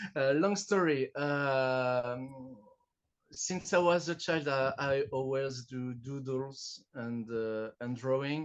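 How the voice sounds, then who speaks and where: A very slow man's voice, fairly high in pitch. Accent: French. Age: 40s. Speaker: artist. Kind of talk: interview. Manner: halting. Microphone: smartphone recording.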